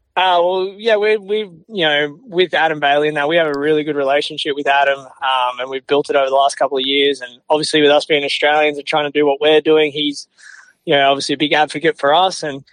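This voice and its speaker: Words pour out of this man at a very fast pace. His voice is fairly high in pitch. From Australia. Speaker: motocross podcaster and race announcer. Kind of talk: casual chat. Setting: remote call.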